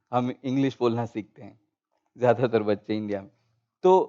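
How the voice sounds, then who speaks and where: Speaking with a Gujarati accent, a man uses a medium pitch and a dark, mellow tone. The sound is dry and close, with no echo. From India, Gujarat. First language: Gujarati (speaking Hindi). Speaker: panel speaker. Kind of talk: panel discussion. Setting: auditorium, online broadcast.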